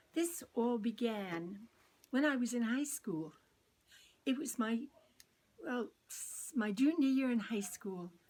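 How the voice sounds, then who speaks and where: The speech is very slow and somewhat breathy. It carries an American accent. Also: woman. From US Northeast, Long Island, New York. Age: 80s+. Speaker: oral history interviewee, trained singer. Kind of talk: oral history testimony.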